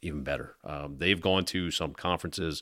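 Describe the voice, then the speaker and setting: A man with a very deep, low pitch and vocal fry talks at a fairly quick pace with ordinary pitch variation, recorded very cleanly against a silent background. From South Jersey, near Atlantic City. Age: 40s. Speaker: police union president. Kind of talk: casual chat.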